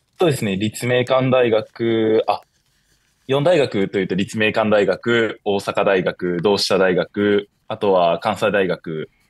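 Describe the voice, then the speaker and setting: A man with a fairly low pitch talks at a fairly slow pace with ordinary pitch variation, the sound dry with no echo and the background quiet. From Shizuoka, Japan; Japan. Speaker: university student; guest. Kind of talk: interview. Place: home room. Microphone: video call.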